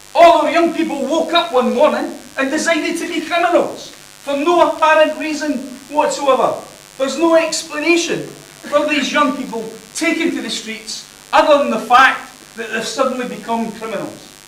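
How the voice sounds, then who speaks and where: Amid noticeable background noise and audible room echo, a man with a Scottish accent speaks loud at a moderate pace in an extremely high pitch. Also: ordinary pitch variation. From Scotland. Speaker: university lecturer. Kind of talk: conference presentation.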